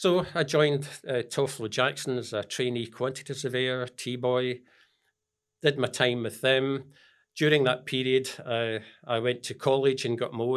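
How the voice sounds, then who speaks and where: In a very clean recording with a silent background, a man speaks at a medium pitch in a Scottish accent. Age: 70s. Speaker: business founder and mentor. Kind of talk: interview. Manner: halting.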